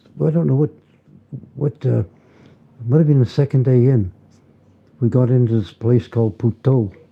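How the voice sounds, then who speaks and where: A man in a Canadian Prairie accent, medium-pitched and somewhat breathy, at a moderate pace with ordinary pitch variation, very even loudness and long, frequent pauses. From Winnipeg, Canada. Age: 80s+. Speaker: war veteran. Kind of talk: interview answer.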